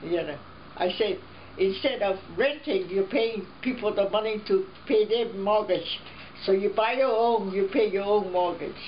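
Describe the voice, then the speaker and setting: Over noticeable background noise, the speaker keeps a moderate pace with ordinary pitch variation. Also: woman, medium pitch for a woman. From Hawaii, Honolulu. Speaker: family elder interviewed. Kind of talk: life story interview. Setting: at home.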